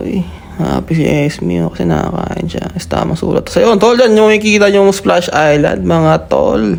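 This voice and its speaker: A man talks at a medium speed as clear background noise carries on. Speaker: vlogger. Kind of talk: vlog voiceover narration. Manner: casual.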